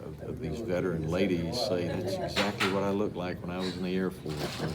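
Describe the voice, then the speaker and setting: A man with a Mississippi accent and a very deep, low pitch speaks at a fairly quick pace with fairly even intonation, with noticeable background noise and audible room echo. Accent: US Southern (Mississippi). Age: 70s. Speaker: artist. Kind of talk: casual interview. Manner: halting, with repetitions.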